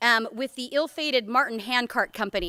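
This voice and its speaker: A woman with an American accent speaks in a raised, projected voice at a high pitch, her tone bright and sharp, in a dry, close recording with no echo. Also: very clean recording, silent background. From US Northwest, Portland Oregon. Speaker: education curriculum director. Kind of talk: keynote speech. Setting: conference stage with audience, microphone. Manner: loud; casual, many fillers.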